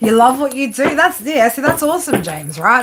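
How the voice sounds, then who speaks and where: Talking fairly quickly with an Australian accent, a woman uses a high pitch that swings very widely. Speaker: tarot reader. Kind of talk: live stream reading with chat. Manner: casual, filler-heavy.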